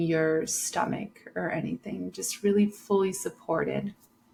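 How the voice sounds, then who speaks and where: Noticeable background noise surrounds a woman speaking in a calm tone. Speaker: breathwork and meditation guide, podcast host. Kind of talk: guided meditation instruction. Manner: slow, calm, instructive.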